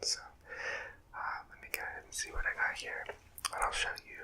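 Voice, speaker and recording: Whispering over noticeable background noise. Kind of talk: ASMR eating video, casual talk to camera. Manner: soft-spoken, whispery.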